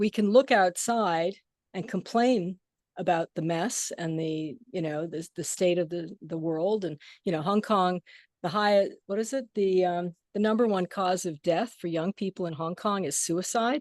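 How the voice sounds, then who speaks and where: A woman's unremarkable speaking voice at a medium pitch, with ordinary pitch variation and a fairly slow pace, in a dry, close sound with no echo against a quiet background. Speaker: gong player and sound healer. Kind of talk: casual chat. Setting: video call.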